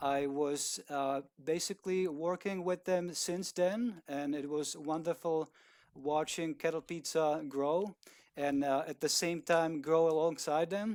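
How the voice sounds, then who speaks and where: A man's fairly high voice with an Eastern European accent, fairly even intonation, a dry, close sound without echo, and a very clean recording over a silent background. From Czech Republic. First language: Czech. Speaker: video producer. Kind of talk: interview. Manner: hesitant, many fillers.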